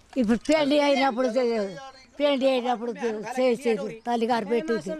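A woman speaks in a high voice at a very even loudness. The sound is dry with no echo, though background noise is noticeable. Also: ordinary pitch variation. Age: 80s+. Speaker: centenarian farmer; interviewee. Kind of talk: interview; interview answer. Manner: halting. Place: open country.

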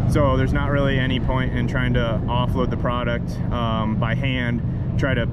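A man is speaking with loud background noise behind him. The sound itself is dry, with no echo. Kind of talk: commentary. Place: open country. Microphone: phone near.

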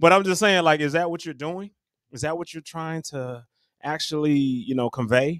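Against a quiet background, a man speaks at a moderate pace with ordinary pitch variation and big swings in loudness, the sound dry with no echo. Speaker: podcast co-host. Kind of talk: casual podcast discussion. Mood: curious, lightly joking. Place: home room. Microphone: studio mic.

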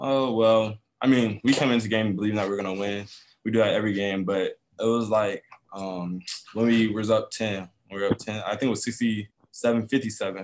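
A man talks at a moderate pace in a fairly low pitch, his intonation monotone and flat. Light background noise can be heard. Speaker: college basketball point guard. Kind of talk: postgame press conference. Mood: relaxed, smiling, upbeat. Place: meeting room. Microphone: webcam.

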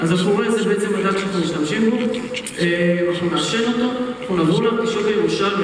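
With a high pitch and fairly even intonation, a man speaks in a strongly echoing room with noticeable background noise. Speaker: presenter. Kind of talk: cooking demo presentation. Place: stage.

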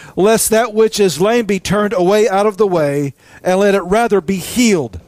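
Speaking at a fairly slow pace, a man has a high pitch with ordinary pitch variation, and the sound is dry with no echo. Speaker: preacher. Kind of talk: sermon. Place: studio.

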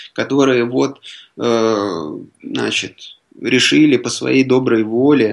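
A man speaks at a very slow pace. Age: 30s. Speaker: writer and lawyer. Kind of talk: radio interview. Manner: halting.

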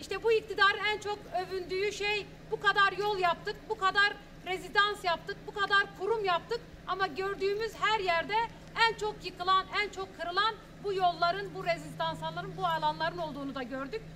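A woman's extremely high-pitched voice with a bright, sharp tone, fairly even intonation, a moderate pace and few pauses

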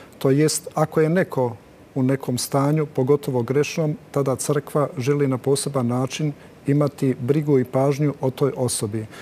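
A fairly high-pitched man's voice at a moderate pace, with fairly even intonation, very even loudness and light background noise. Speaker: TV talk show host. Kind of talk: TV panel discussion moderation. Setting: TV studio. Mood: calm, measured. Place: studio. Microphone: lapel.

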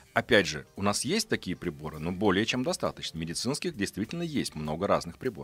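A man speaks at a fairly quick pace in a fairly low pitch, with very wide pitch swings and hardly any pauses. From Russia, Astrakhan, moved often as military child; Russia. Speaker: physician and science journalist; science journalist. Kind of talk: radio interview. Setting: radio studio. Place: studio. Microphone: studio mic.

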